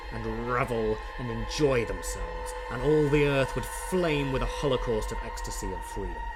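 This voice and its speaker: Someone with a British accent speaks at a moderate pace while music plays in the background. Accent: British, plummy. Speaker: audiobook narrator; classically trained singer and speaker. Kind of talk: dramatic audiobook reading.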